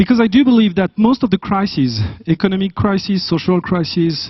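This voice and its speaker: A man's high-pitched voice with a French accent. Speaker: business school academic. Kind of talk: conference talk. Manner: halting.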